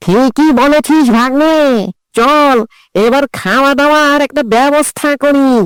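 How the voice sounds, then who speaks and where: A cartoonish character voice, high in pitch, speaks at a fairly slow pace. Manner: cocky and mocking.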